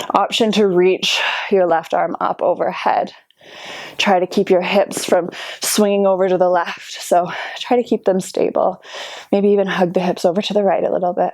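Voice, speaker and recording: Noticeable background noise sits behind a woman's calm voice. Her intonation is monotone and flat, and her loudness stays very even. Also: medium pitch for a woman, moderate pace. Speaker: yoga instructor. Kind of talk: guided workout class. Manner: instructive, calm cueing.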